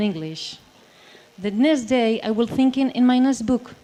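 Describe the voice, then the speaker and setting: A woman speaks with a Basque accent. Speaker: writer and translator. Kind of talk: panel discussion. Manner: halting.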